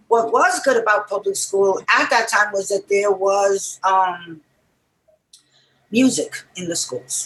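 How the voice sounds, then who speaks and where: Speaking very slowly at a medium pitch, a woman with a New York accent uses ordinary pitch variation. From New York City, Puerto Rican family. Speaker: music writer and musician. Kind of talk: interview.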